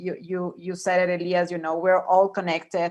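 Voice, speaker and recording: A woman speaks in a Spanish accent. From Ecuador. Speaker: panelist. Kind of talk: panel discussion. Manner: halting, many repetitions.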